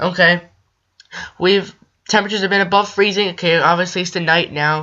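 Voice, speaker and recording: A woman's medium-pitched, shaky voice at a fairly quick pace, in a flat monotone. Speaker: amateur weather youtuber. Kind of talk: weather forecast video. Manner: halting.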